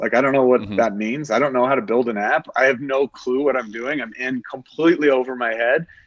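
A man with a plain, everyday voice and an American accent talks fairly quickly at a medium pitch with fairly even intonation. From Oklahoma. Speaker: app founder, hunter. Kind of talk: casual interview chat.

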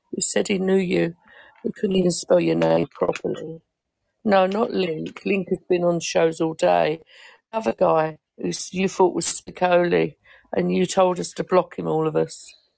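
A woman in an English accent at a moderate pace, with a dry, close sound and no echo. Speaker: podcast panelist. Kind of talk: casual chat.

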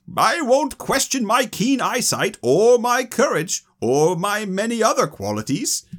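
Putting on a character voice, a man speaks at a high pitch with lively intonation, at a fairly slow pace with hardly any pauses. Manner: boastful, self-assured.

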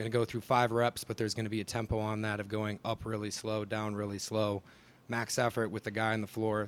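Speaking fairly quickly with an American accent, a man keeps his fairly low pitch in a monotone, flat delivery. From northern Wisconsin. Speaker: graduate assistant strength coach. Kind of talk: roundtable discussion.

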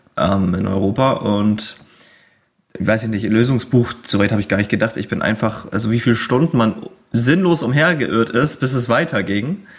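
His intonation lively, the man keeps a moderate pace at a medium pitch. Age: 20s. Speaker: video game fan guest. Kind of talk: casual chat. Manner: hesitant, many filler sounds.

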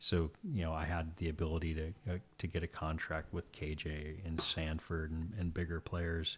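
With a very deep, low pitch and a somewhat breathy voice, a man with an American accent talks in a monotone, flat way at a moderate pace with hardly any pauses, in a very clean recording with a silent background. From California, Santa Maria Valley. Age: 40s. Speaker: rancher and winemaker. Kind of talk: casual interview chat. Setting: at host's kitchen table.

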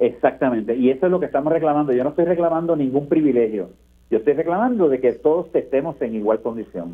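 Speaking very fast, a man with a fairly high voice uses lively intonation. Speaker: senator. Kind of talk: radio interview.

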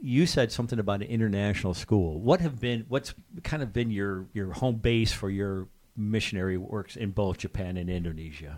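A man talks at a moderate pace, his pitch varying in an ordinary way. The background is silent on this very clean recording. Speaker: podcast host. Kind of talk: casual interview.

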